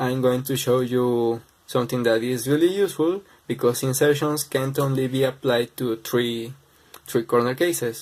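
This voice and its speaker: A man's medium-pitched voice with a non-native accent, fairly even intonation and a moderate pace. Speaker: speedcubing tutorial maker. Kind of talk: tutorial.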